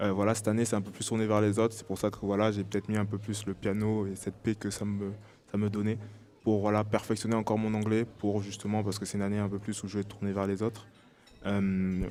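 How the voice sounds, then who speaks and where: A man's very fast, monotone, flat delivery, fairly low in pitch with a dark, mellow tone. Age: 20s. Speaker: professional basketball player. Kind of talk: podcast interview. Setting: live podcast with audience in a bar. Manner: hesitant, many fillers.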